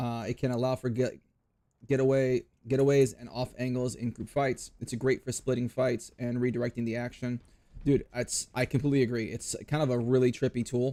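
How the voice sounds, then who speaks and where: At a fairly quick pace, a man talks in a medium-pitched voice with a dark, mellow tone. His intonation stays monotone and flat. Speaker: gaming streamer. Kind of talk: casual live stream chat while gaming. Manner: loud.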